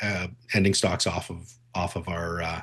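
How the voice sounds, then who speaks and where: A man against a quiet background. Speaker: grain market analyst. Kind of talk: webinar presentation. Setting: online webinar. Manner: fast; many filler words.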